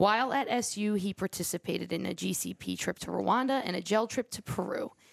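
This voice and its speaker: A woman's medium-pitched voice with vocal fry. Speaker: podcast co-host. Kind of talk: casual conversation.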